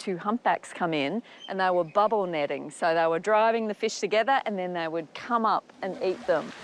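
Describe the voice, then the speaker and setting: An Australian accent marks this woman's medium-pitched voice, with ordinary pitch variation. She talks at a moderate pace in a dry, close sound with no echo. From Australia, Melbourne. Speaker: lodge owner. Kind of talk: interview.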